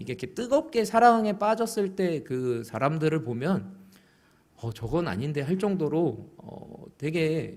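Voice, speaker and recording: A man talks at a fairly high pitch with very wide pitch swings. There is audible room echo. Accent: slight Busan. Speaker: pastor. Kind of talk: sermon.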